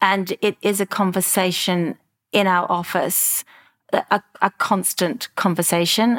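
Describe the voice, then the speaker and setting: Speaking at a fairly slow pace, a woman with a medium pitch keeps very even loudness and fairly even intonation, recorded very cleanly against a silent background with a dry, close sound and no echo. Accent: Australian. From Australia, Melbourne. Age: 50s. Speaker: clothing brand founder. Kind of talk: interview.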